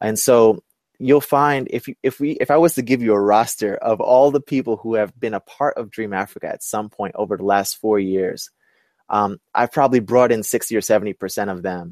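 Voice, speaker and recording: In a very clean recording with a silent background, a man with an American accent uses an ordinary speaking voice at a medium pitch, talking at a moderate pace with lively intonation. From Brooklyn, New York. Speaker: entrepreneur and inclusive leadership specialist. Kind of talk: interview. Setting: webcast.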